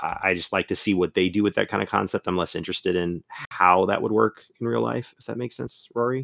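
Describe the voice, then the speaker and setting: A very fast, nearly pauseless man's voice, very deep and low, with vocal fry, a Florida accent, very wide pitch swings and a dry, close sound with no echo. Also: very clean recording, silent background. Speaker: guest host. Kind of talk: casual chat.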